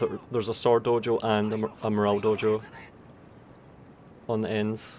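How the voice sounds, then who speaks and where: Speaking with a Scottish accent, a man uses a medium pitch. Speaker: game tournament commentator. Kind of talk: live commentary.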